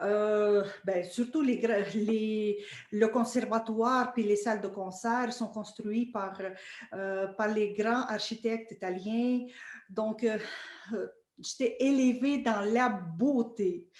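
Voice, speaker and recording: Very slowly, a fairly high-pitched woman speaks, her intonation fairly even. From Russia, Saint Petersburg. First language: Russian (speaking French). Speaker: orchestra violinist. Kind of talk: interview conversation. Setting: video call. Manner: halting, many fillers.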